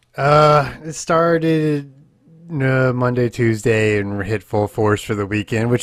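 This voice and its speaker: A man talks fairly slowly, his pitch varying in an ordinary way, with noticeable background noise behind him. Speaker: podcast host. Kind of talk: casual chat.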